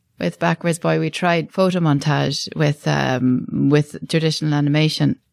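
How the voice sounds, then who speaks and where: The sound is dry and close, with no echo. A woman talks at a moderate speed. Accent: Cork. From Ireland, Midleton, County Cork. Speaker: animation director and studio co-founder. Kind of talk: interview.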